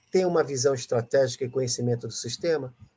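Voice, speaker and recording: A man talks at a fairly quick pace. His voice is somewhat breathy, with a dark, mellow tone. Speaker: ESG teacher. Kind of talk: live stream chat. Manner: animated.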